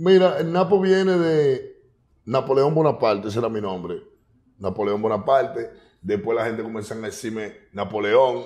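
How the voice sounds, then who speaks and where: A man talks at a moderate pace in a medium pitch. His pitch swings very widely. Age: 30s. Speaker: urban music artist. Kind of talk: casual interview. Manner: animated.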